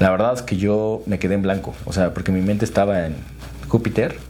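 A fairly low-pitched man with a central Mexican accent at a fairly quick pace, with noticeable background noise and audible room echo. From Mexico, Tlaxcala. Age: 30s. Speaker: real estate developer and construction entrepreneur. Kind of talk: interview conversation. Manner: hesitant with fillers and repetitions.

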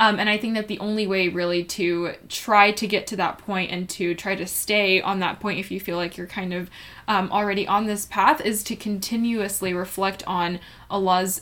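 At a moderate pace, a woman speaks at a medium pitch in a monotone, flat intonation. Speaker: podcast co-host. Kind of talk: casual religious discussion.

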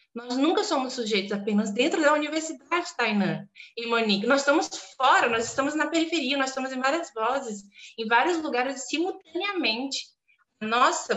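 At a moderate pace, a woman talks in a high pitch with lively intonation. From Brazil, southeastern Pará. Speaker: literature teacher and academic. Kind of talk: podcast interview. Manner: animated.

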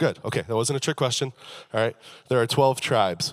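Ordinary pitch variation in a medium-pitched male voice. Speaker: preacher. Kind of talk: sermon. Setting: church with congregation. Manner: humorous, casual.

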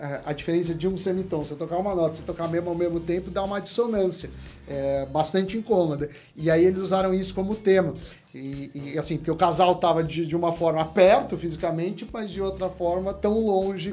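Music plays behind a man speaking at a fairly quick pace. His voice is high, with fairly even intonation. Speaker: economist. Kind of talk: casual chat.

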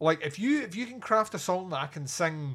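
Recorded very cleanly with a silent background, a man talks at a moderate pace with ordinary pitch variation. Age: 40s. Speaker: metal podcast co-host. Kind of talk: casual chat. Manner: animated.

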